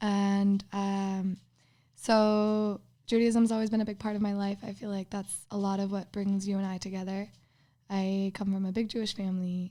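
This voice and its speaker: A woman with an American accent speaks at a moderate pace and medium pitch, her tone dark and mellow. Her intonation is monotone and flat, and the recording is very clean with a silent background. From Minnesota, US Midwest. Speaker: podcast guest. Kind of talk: casual chat.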